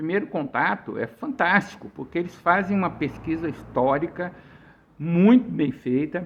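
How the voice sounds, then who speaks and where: Pitched high, a man talks fairly slowly with very wide pitch swings. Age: 60s. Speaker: author. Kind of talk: casual chat. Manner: halting.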